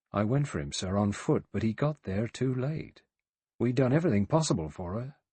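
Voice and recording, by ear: The speaker reads aloud in a natural voice with lively intonation over a quiet background.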